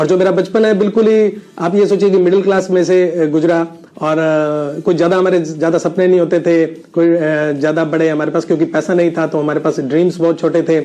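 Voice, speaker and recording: A man with a high voice talks at a moderate pace with hardly any pauses. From India, Rajasthan (Sri Ganganagar). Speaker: network marketing business owner, ex pharma rep. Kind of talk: personal success story testimony. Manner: hesitant with frequent filler sounds.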